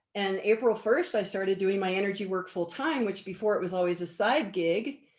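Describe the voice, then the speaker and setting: A woman's plain, everyday voice, medium in pitch with ordinary variation, at a fairly quick pace. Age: 60s. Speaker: energy healer. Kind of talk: interview.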